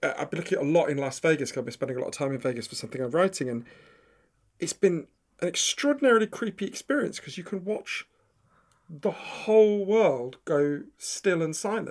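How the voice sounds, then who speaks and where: A man with a London accent talks at a fairly quick pace. His pitch is high, with very wide swings. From London, England (Edgware). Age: 40s. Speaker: author and journalist. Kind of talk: casual interview chat.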